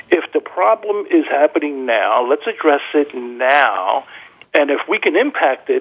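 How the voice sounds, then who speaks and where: A man with an ordinary speaking voice, fairly high in pitch, and lively intonation. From New Jersey. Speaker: therapy founder. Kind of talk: interview.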